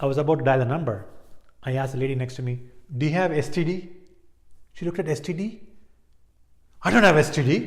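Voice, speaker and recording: A man talks at a very fast pace in a fairly high pitch, somewhat breathy. He leaves long, frequent pauses. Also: ordinary pitch variation. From Chennai, India. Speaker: stand-up comedian. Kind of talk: stand-up comedy storytelling.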